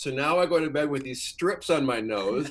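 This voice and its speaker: The speaker has a plain, everyday voice and an American accent. Pitch varies in an ordinary way at a moderate pace. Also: man. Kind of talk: casual chat. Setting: video call.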